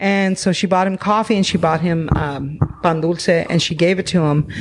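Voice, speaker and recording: A woman with an American accent and a plain, everyday voice, at a moderate pace with fairly even intonation. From Arizona, Phoenix area. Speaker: comedy troupe performer. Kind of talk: casual chat. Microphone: held too far from mouth.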